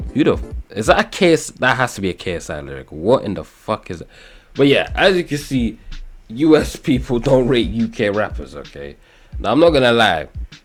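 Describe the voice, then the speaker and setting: A man speaks at a fairly quick pace with vocal fry, very wide pitch swings and big swings in loudness. The recording is very clean, with a silent background. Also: medium pitch for a man. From England. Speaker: YouTuber. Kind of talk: casual commentary video. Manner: animated.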